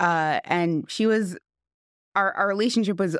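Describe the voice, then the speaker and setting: In a very clean recording with a silent background and a dry, close sound with no echo, a woman with a New York accent speaks with fairly even intonation. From West Hempstead, New York. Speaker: friend of the deceased. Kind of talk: podcast interview.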